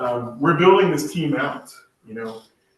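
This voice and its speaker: The voice belongs to a man. Room echo can be heard around it. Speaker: state regulatory agency presenter. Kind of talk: presentation.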